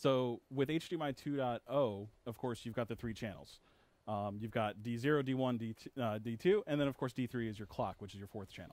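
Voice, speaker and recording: A man talks at a fairly slow pace with ordinary pitch variation and big swings in loudness, in a dry sound with no echo. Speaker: tech support technician; video presenter. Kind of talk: webinar presentation. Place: studio. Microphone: headset.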